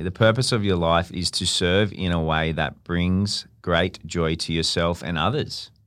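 A man with an Australian accent speaks in a very deep, low pitch on a very clean recording with a silent background. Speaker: podcast host's partner. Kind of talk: casual chat. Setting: studio. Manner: loud.

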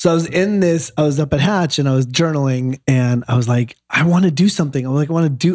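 Speaking very fast, a man with a Midwestern American accent uses a fairly high pitch with ordinary variation. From Michigan, near Detroit. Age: 40s. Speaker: actor. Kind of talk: casual interview chat.

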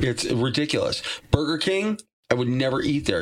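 Talking at a fairly slow pace, a man with an American accent uses a fairly high pitch. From Massachusetts, US. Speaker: rock singer. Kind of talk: casual interview chat. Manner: animated, laughing often.

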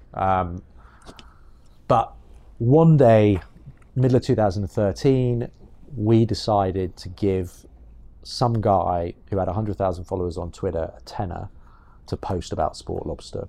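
A man with a British accent in a dark, mellow, fairly low voice, fairly slow and broken by long, frequent pauses, with ordinary pitch variation. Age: 30s. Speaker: entrepreneur, agency co-founder. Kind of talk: interview conversation. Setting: in person at guest's office.

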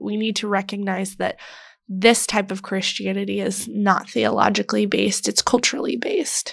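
On a very clean recording with a silent background, a woman with an American accent speaks in a plain, everyday voice. Her pitch is medium and her pace moderate. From Texas. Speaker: writer and journalist. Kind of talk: casual interview.

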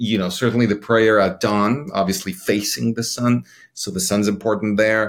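The speaker has a Spanish accent and a moderate pace. The recording is very clean, with a silent background. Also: man. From Mexico City, Mexico. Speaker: cinematographer. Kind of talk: interview. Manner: halting.

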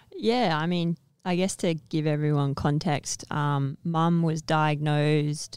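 On a very clean recording with a silent background, a woman speaks very slowly at a very deep, low pitch, with fairly even intonation. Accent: Australian. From Western Australia, Perth. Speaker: Olympic softball player. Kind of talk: casual interview chat.

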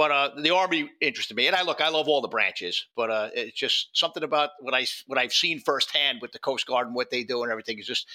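A man talks very fast in a strong New York accent, his pitch fairly high and his tone bright and sharp. The sound is dry and close with no echo. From New York City (Bronx). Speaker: former ATF agent and whistleblower. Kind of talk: casual interview.

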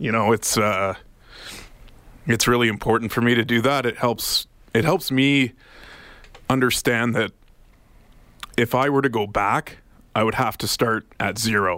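A man with a Canadian accent speaks at a moderate pace and medium pitch, with ordinary pitch variation. His tone is bright and sharp, and his pauses are long and frequent. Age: 30s. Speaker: radio producer recovering from alcohol addiction. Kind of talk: personal testimony in radio interview.

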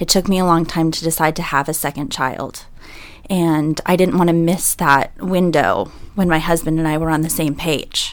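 A woman with a normal speaking voice talks at a moderate pace, her pitch fairly low and her intonation fairly even. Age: 30s. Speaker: salesperson sharing pregnancy loss story. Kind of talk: panel discussion, personal testimony. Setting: studio.

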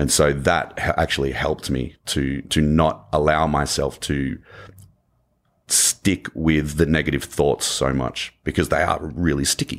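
In a very clean recording with a silent background, a man speaks fairly slowly in a very deep, low, monotone voice with vocal fry. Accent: Australian. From Australia. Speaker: motivational speaker and former navy diver. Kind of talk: interview.

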